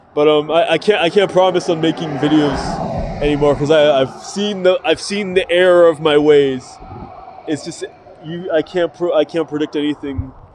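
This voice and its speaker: A man talks at a moderate pace in a fairly high pitch with fairly even intonation. Noticeable background noise is present. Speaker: YouTuber and amateur rapper. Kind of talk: casual vlog monologue. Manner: halting, many fillers and repetitions.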